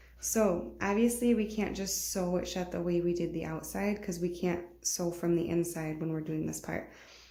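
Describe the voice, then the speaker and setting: The voice is quiet, somewhat breathy and dark, mellow in tone. Its intonation stays fairly even, and audible room echo surrounds it. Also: woman, fairly low pitch for a woman, moderate pace. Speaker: sewing tutorial creator. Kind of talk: tutorial. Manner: quiet, subdued; casual, conversational.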